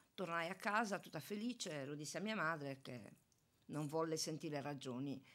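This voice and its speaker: Her pitch is very deep and low for a woman, yet her intonation stays lively. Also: moderate pace. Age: 60s. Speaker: retiring municipal police officer; radio guest. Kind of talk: interview. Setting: studio. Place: studio. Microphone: studio mic.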